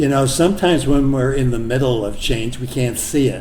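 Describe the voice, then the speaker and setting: Some echo from the room is audible, along with clear background noise. The voice belongs to a man. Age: 80s+. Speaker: podcast interviewer. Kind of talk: interview.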